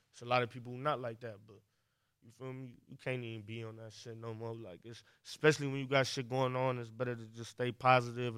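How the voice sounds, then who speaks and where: Talking very fast, a man with a medium-pitched voice keeps a flat, monotone intonation. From Cleveland, Ohio. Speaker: rapper. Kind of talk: casual chat. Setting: studio.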